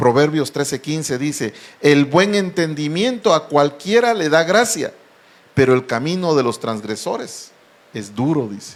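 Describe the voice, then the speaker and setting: A man speaks at a fairly slow pace with a fairly high pitch. His pitch swings very widely. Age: 60s. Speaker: pastor. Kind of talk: sermon.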